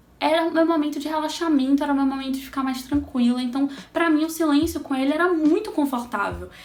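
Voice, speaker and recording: Very fast, animated delivery with hardly any pauses and audible room echo. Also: woman, high pitch for a woman. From Brazil. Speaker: astrologer and holistic therapist, vlogger. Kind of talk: casual personal storytelling vlog.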